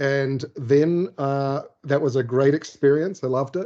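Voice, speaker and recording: A dark, mellow tone with a New Zealand accent. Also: man. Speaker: sales director. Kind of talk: interview.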